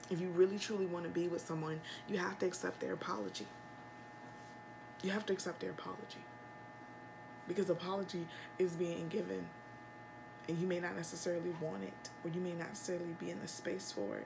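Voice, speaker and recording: A soft-spoken woman talks very fast yet with long, frequent pauses, amid noticeable background noise and audible room echo. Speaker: tarot reader. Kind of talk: tarot reading.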